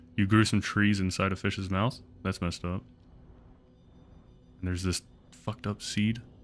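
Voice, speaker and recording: With music in the background, a man talks in fairly even intonation. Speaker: video game streamer. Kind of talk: live gameplay commentary. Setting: livestream. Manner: whispering.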